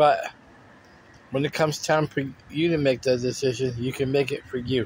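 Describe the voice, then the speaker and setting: At a moderate pace, a man talks in a fairly high pitch that is somewhat breathy. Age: 50s. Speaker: vlogger sharing health update. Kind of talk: personal vlog monologue. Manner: repetitive, halting at times.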